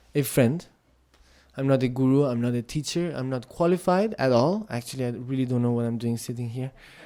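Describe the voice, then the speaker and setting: This man speaks with a Tibetan accent at a fairly quick pace, his medium pitch showing ordinary variation. The recording is very clean with a silent background. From India, Tibetan monastery. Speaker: Buddhist speaker. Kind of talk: dharma talk. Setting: meditation center with audience. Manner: halting.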